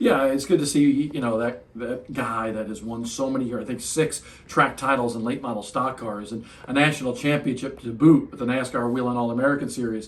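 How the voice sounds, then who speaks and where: In a room with audible echo and noticeable background noise, a man talks at a fairly quick pace with a medium pitch. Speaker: motorsports analyst. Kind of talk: post-race debrief. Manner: fast; animated.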